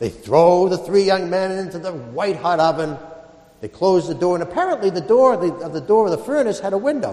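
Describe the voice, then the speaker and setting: There is noticeable background noise as a man speaks with a high pitch and lively intonation. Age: 50s. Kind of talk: sermon.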